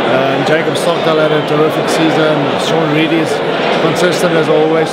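Loud background noise runs throughout. Over it, a man talks at a moderate pace. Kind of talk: interview answer. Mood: emotional, reflective farewell. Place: hall.

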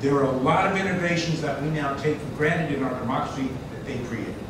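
A man talking at a fairly quick pace amid loud background noise and audible room echo. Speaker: event moderator and activist. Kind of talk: public presentation. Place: hall. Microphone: camera far.

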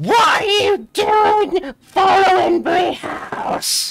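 In a put-on character voice, extremely high-pitched and shrill, the speaker goes at a very slow pace. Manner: screeching.

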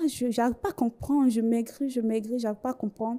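A woman with a fairly high pitch and a dark, mellow tone talks against a quiet background. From Côte d'Ivoire. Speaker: bank cashier giving religious testimony. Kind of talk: testimony. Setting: TV studio. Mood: earnest, recounting hardship. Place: studio. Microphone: handheld.

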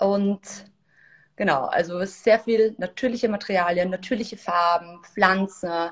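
Fairly low in pitch, a woman speaks at a fairly slow pace with fairly even intonation.

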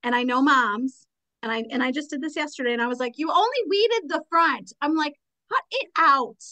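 Over a quiet background, a woman's raised, projected voice comes through high and bright with a sharp tone, lively intonation and a fairly quick pace. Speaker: podcast host. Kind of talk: casual interview. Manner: animated, excitable. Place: home room. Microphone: studio mic.

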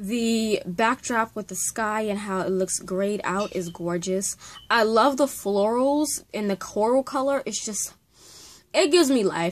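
A woman's voice with ordinary pitch variation at a fairly slow pace. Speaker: book vlogger. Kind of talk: casual vlog chat. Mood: excited, enthusiastic. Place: home room. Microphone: webcam.

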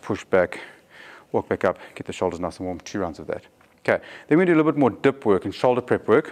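Talking at a very fast pace, a man is heard. The background is quiet. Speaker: fitness coach. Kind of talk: tutorial. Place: gym.

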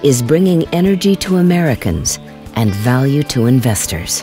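A man talks at an unhurried, moderate speed, his pitch leaping very widely, while music plays behind him. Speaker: voice actor. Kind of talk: corporate narration.

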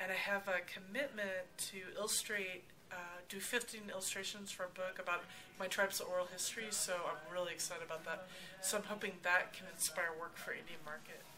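Over noticeable background noise, a woman speaks at a fairly quick pace with fairly even intonation. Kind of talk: interview answer. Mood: relaxed, cheerful. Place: workshop. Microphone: camera far.

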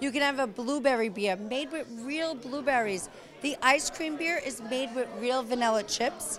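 Amid crowd noise in the background, a woman speaks at a high pitch and moderate pace with ordinary pitch variation. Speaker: wine and beer brand representative; guest. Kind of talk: promotional interview. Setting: event venue. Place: hall. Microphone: handheld.

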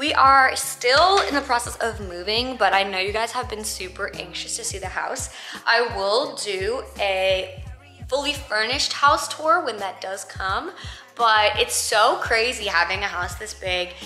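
A woman at a fairly slow pace, with faint music in the background and audible room echo. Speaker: vlogger. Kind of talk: casual vlog chat. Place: home room. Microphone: phone near.

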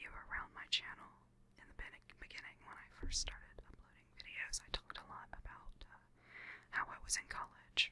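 A soft-spoken woman whispers at a moderate pace. The sound is dry, with no echo. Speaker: vlogger. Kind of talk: casual personal vlog talk. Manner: soft close-mic ASMR whisper. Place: home room. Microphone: studio mic.

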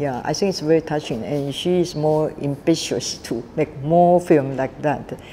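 A woman with a Taiwanese accent talks at a fairly slow pace in a very deep, low pitch. She leaves hardly any pauses, and there is light background noise. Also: ordinary pitch variation. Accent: Taiwanese Mandarin-accented English. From Taiwan, Kaohsiung. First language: Mandarin. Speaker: film director and festival founder. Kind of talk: interview. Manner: halting, many fillers. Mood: warm, smiling.

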